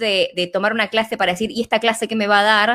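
In a very clean recording with a silent background, a woman speaks at a fairly high pitch with a Rioplatense accent. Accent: Argentine Spanish (rioplatense). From Argentina. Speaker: holistic therapist and business coach. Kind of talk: interview conversation.

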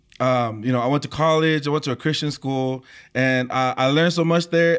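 A fairly high-pitched man with a Tongan accent, fairly quick and fairly even in intonation, on a very clean recording with a silent background. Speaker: worship leader, singer. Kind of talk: casual chat.

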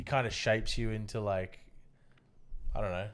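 A man with an Australian accent speaks at a fairly slow pace with lively intonation. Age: 30s. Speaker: podcast host. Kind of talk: casual chat.

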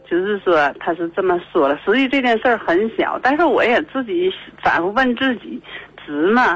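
Very wide pitch swings in a woman's fairly high voice. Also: moderate pace. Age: 50s. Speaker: radio call-in caller. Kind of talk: call-in conversation about personal problem. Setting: phone call. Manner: hesitant, many fillers and repetitions.

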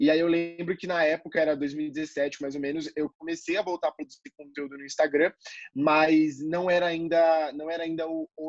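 This man has a plain, everyday voice, fairly high in pitch, with fairly even intonation at a moderate pace. The sound is dry and close, with no echo. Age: 20s. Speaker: marketing student and content creator. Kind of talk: casual interview.

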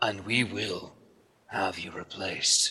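A man's put-on character voice with a menacing tone at a fairly slow pace. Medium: actual play. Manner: menacing, cold, formal.

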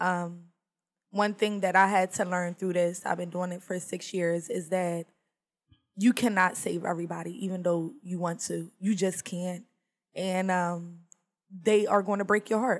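A woman with an American accent, at a moderate pace, in a monotone, flat intonation. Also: medium pitch for a woman. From US, small rural town. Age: 30s. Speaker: youth mentor. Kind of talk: casual chat.

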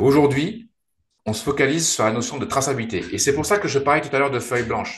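Talking very fast, a man uses a fairly high, somewhat breathy voice with lively intonation. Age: 40s. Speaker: startup founder and CEO. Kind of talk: interview. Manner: halting, many repetitions and fillers.

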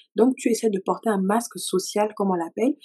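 Dark and mellow, a woman's voice moves at a moderate pace with ordinary pitch variation. The sound is dry and close with no echo. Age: 30s. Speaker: worship leader and author. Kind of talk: testimony.

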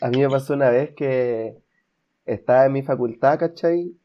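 This man speaks with a Chilean accent. His pitch sits fairly high. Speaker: podcast co-host. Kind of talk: casual chat.

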